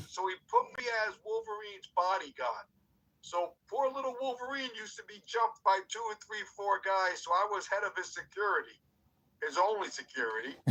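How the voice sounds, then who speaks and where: A man's raised, projected voice, high-pitched with a bright, sharp tone and ordinary pitch variation, at a moderate pace with big swings in loudness. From New York City, Cuban background. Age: 60s. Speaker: wrestler and former radio personality. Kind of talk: interview. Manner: talkative, animated.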